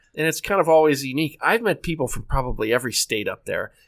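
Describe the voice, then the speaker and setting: This man's pitch sits fairly high. He has an American accent. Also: very clean recording, silent background. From northeast Ohio. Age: 40s. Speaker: state park manager. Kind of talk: casual interview.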